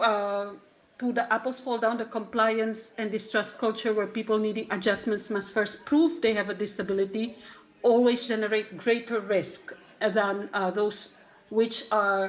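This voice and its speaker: Fairly high in pitch, a woman with a non-native accent keeps a fairly even intonation. She moves at a moderate pace with long, frequent pauses. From Philippines. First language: not English. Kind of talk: conference talk. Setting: conference. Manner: halting.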